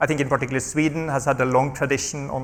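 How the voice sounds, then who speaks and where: Speaking at a very fast pace, a man with a fairly high pitch keeps a flat, monotone delivery. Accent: Norwegian. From Norway. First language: Norwegian. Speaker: health research charity executive. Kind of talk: panel discussion. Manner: repetitive stammering on small words.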